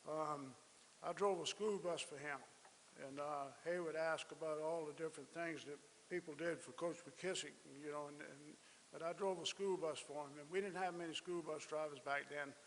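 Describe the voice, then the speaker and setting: Speaking at a moderate pace with fairly even intonation, a man with a South Carolina accent has a fairly high pitch. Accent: Southern US (South Carolina). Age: 70s. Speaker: speaker at memorial ceremony. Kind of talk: speech. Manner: halting.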